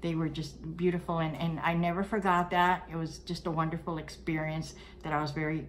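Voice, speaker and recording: A woman speaks with a very deep, low pitch amid audible room echo. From Cuba, then Brooklyn. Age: 60s. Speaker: vlogger. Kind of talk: personal storytelling. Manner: casual, hesitant with fillers.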